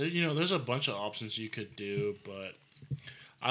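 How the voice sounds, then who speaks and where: Fairly low in pitch, a man talks at a fairly quick pace in a bright, sharp tone. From Arizona, Prescott Valley; Arizona. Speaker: home builder; podcast guest, contractor. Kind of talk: casual chat. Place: studio. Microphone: studio mic.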